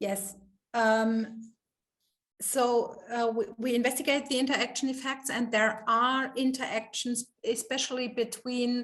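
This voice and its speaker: A high-pitched woman speaks at a fairly slow pace in a monotone, flat intonation. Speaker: professor. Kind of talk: Q&A after lecture. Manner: halting, many fillers.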